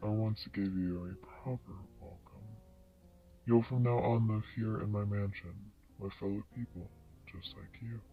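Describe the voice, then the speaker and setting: A man uses a put-on character voice at a fairly low pitch. He keeps a moderate pace, with long, frequent pauses. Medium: read story. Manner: calm, measured.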